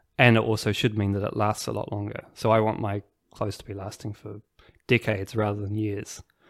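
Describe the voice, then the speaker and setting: On a very clean recording with a silent background, a man with a New Zealand accent talks at a fairly quick pace in a fairly low, monotone, flat voice. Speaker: tailor and store manager. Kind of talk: casual interview conversation. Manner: hesitant, self-conscious.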